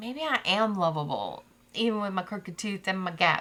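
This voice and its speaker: Loud and fairly slow, a woman speaks at a medium pitch with a bright, sharp tone. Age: 40s. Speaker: podcast co-host. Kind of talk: casual chat. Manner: loud laugh.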